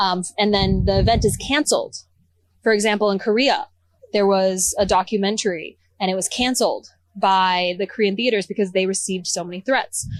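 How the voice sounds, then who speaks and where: Speaking at a fairly quick pace with an American accent, a woman uses an ordinary speaking voice at medium pitch and fairly even intonation. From Texas. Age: 20s. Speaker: researcher and activist. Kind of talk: interview. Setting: outdoors at a rally.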